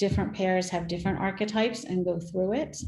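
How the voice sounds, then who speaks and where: Her voice carries vocal fry. The woman's intonation stays fairly even. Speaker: workshop presenter. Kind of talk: virtual workshop Q&A.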